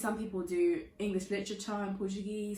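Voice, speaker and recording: Very fast speech in a British accent, with audible room echo. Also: woman. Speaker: youtuber and university student. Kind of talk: casual vlog talk. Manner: chatty, filler-heavy.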